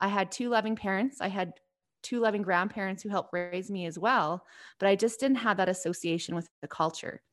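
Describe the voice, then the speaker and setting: A woman with a Canadian accent speaks at a medium pitch with ordinary pitch variation in a plain, everyday voice, on a very clean recording with a silent background. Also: fairly quick pace. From southern Alberta, Canada. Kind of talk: interview.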